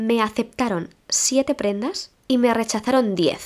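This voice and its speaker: Very slow speech from a woman with a fairly high pitch. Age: 30s. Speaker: podcaster and teacher. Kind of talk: casual solo podcast monologue.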